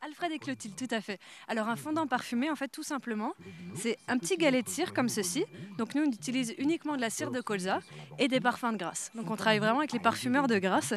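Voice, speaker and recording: A woman with an Alsatian accent, very fast and lively, her pitch fairly high. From Alsace. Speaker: artisan stallholder. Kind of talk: live TV interview. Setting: outdoor Christmas market.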